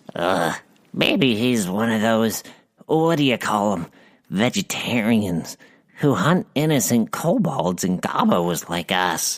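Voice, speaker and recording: Using a put-on character voice, the speaker talks at a fairly slow pace with a low pitch. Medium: audio drama. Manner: simple, folksy, clipped words.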